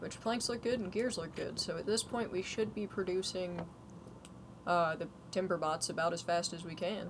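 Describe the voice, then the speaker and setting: Soft-spoken and at a moderate pace, a woman talks at a medium pitch with ordinary pitch variation. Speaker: gaming streamer. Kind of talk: casual chat. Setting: livestream.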